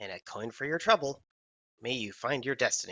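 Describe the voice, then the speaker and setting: At a fairly quick pace, a man puts on a character voice with a medium pitch. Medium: actual play. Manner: friendly, good-natured.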